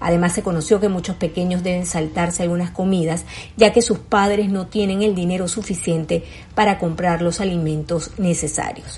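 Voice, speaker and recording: A woman with a fairly low pitch speaks in a serious tone at a moderate pace, her intonation monotone and flat. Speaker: news presenter. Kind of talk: news reading.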